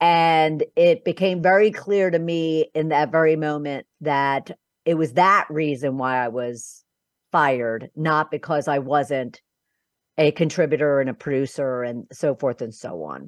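A woman with an American accent speaks at a fairly slow pace in a very deep, low pitch. The sound is dry and close with no echo, over a quiet background. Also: ordinary pitch variation. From Philadelphia, US. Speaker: business coach and podcast host. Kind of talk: interview.

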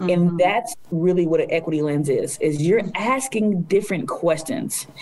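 Fairly low in pitch, this woman has an unremarkable speaking voice with ordinary pitch variation. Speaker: city equity officer. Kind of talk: casual interview conversation.

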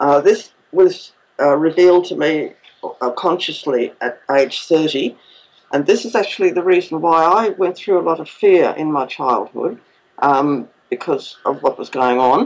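This woman has an Australian accent and a fairly low pitch. She speaks at a fairly slow pace with lively intonation. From Queensland, Australia. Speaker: author and ET contact experiencer. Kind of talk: interview.

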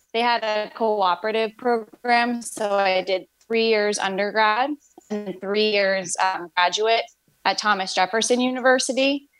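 Here is a woman with a plain, everyday voice and fairly high pitch. She keeps a fairly even intonation at a fairly slow pace. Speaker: pediatric physical therapist. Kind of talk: interview conversation.

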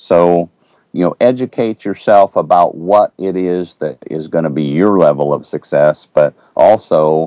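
The voice has a dark, mellow tone, a fairly slow pace and ordinary pitch variation, in a dry, close sound with no echo. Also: man. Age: 50s. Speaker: self-image coach and entrepreneur. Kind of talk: radio interview. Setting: talk radio. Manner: hesitant with fillers.

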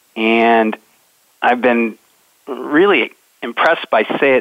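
This man talks at a medium pitch. The rise and fall of his voice is ordinary. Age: 50s. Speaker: leadership coach. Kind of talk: call-in advice request. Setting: phone call. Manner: jovial, light.

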